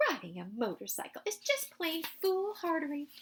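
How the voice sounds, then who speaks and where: A woman puts on a character voice at an extremely high pitch, keeping a moderate pace. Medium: read story.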